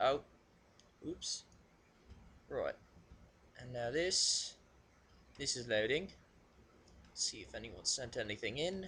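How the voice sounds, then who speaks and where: With a bright, sharp tone at a medium pitch, a man speaks at a fairly slow pace, using very wide pitch swings, big swings in loudness and long, frequent pauses. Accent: British. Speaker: video blogger reading submissions. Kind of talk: casual solo recording. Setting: home alone at computer. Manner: halting, filler-heavy.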